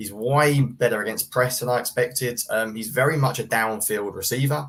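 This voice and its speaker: This man speaks with a British accent at a medium pitch. His pace is fairly quick. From UK. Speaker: sports writer and film analyst. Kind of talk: casual podcast interview.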